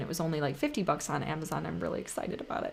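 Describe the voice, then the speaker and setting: Noticeable background noise runs under a woman speaking with lively intonation. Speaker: astrologer. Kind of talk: astrology forecast video. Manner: fast.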